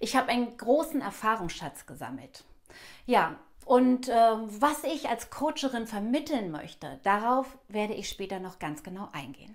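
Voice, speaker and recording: Over a quiet background, a woman speaks at a moderate pace and a fairly high pitch with vocal fry. Her pitch swings very widely and her loudness swings a lot. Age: 50s. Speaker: actress and acting coach; actress, acting coach. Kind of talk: self-introduction video. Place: home room. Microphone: lapel.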